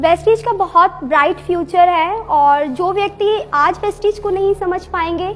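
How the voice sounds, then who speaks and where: Against noticeable background noise, a woman with an extremely high pitch talks with hardly any pauses. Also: ordinary pitch variation. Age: 25. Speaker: network marketing distributor. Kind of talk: testimony.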